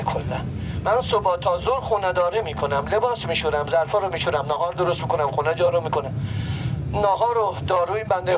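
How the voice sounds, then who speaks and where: Over noticeable background noise, a high-voiced man talks at a very fast pace. His intonation is lively. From Iran. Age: 60s. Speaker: traditional street performer. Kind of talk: street performance patter to a crowd. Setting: outdoors.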